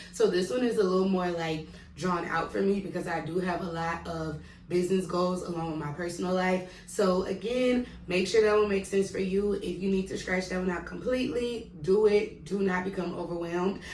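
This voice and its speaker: A woman with an American accent talks at medium pitch and a fairly quick pace with hardly any pauses, amid audible room echo and noticeable background noise. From Mississippi, US South. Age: 20s. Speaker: vlogger and kindergarten teacher. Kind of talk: casual tutorial vlog. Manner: fast; animated.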